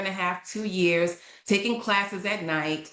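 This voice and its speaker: A woman speaks with an American accent. The recording has audible room echo and noticeable background noise. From New York. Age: 50s. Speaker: leadership coaching consultant. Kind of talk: podcast interview, personal story. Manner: animated storytelling.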